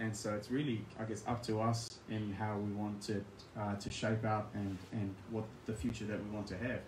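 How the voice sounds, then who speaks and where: Amid audible room echo and noticeable background noise, a man with a New Zealand accent speaks at a moderate pace in a fairly low, monotone, flat voice. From New Zealand, Christchurch. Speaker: scholar, guest speaker. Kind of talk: talk Q&A. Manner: halting, many fillers.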